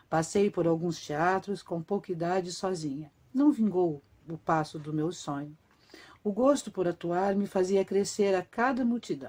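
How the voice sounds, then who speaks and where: A woman's dark, mellow tone with lively intonation at a fairly slow pace. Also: medium pitch for a woman. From Brazil, Curitiba (Paraná). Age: 50s. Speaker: actress and writer. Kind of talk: autobiographical reading of a written text.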